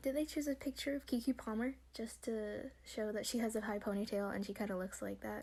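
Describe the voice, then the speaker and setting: The voice is quiet and moves at a moderate pace. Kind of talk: casual commentary, reading and reacting to an article. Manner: quiet, low volume.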